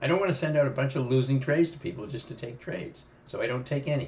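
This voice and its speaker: At a very fast pace, a man speaks at a fairly high pitch with ordinary pitch variation, and audible room echo surrounds him. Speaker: options trading educator. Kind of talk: live trading commentary. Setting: live stream. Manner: halting, repeats words.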